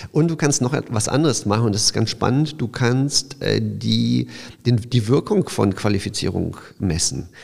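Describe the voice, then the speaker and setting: A man talks at a moderate pace, his loudness staying very even throughout. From Silesia, Poland (Opole area), moved to Düsseldorf at 12. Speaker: startup founder. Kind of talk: interview. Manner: halting, many fillers and restarts.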